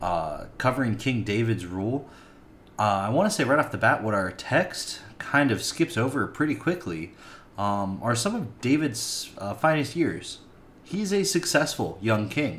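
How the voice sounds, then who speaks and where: A man at a fairly slow pace, with very wide pitch swings and light background noise. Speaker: preacher or Bible teacher. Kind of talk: sermon. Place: home room. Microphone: webcam.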